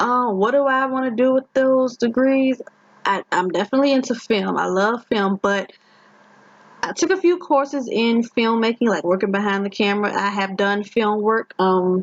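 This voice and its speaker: A woman with a Virginia accent, fairly high in pitch, with ordinary pitch variation and very even loudness. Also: moderate pace. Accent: Virginia accent, rural county flavour. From Virginia, Richmond, rural county family. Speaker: gaming YouTuber. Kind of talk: casual chat. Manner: halting.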